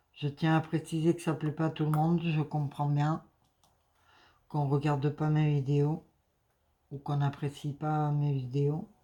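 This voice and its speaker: Very deep, low female voice, monotone and flat, with long, frequent pauses. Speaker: crafting YouTuber. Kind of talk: casual vlog chat. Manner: hesitant, many fillers.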